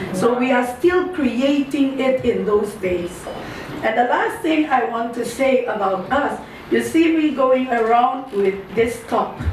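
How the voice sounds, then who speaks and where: A woman's high voice with lively intonation at a fairly slow pace, amid noticeable background noise and audible room echo. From Suriname. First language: Maroon creole language. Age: 60s. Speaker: ambassador. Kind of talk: cultural talk to a small audience. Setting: festival event with audience. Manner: halting.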